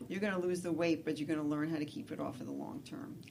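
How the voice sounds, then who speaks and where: A woman with an American accent, fairly low pitch and fairly even intonation, plus audible room echo. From New York City. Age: 60s. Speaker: nurse and weight loss coach. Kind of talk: interview on radio show.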